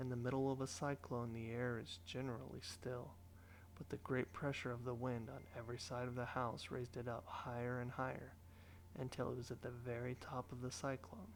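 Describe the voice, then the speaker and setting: Soft-spoken and fairly quick, a man talks at a medium pitch with ordinary pitch variation. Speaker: audiobook narrator. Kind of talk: sleep story.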